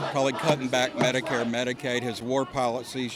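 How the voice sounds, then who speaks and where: Over noticeable background noise, a man of medium pitch talks fairly quickly in a monotone, flat way. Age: 60s. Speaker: protester. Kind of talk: street interview. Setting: outdoors at a rally.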